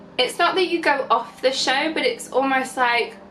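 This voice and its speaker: Against noticeable background noise, a woman with a Northern English accent speaks at a fairly quick pace with ordinary pitch variation. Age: 20s. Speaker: fashion and beauty blogger. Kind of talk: casual talk to camera. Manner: chatty.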